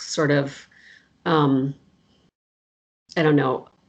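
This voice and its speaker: A woman with an American accent speaks very slowly in a very deep, low voice. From US Southwest. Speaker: professor. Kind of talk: casual interview chat.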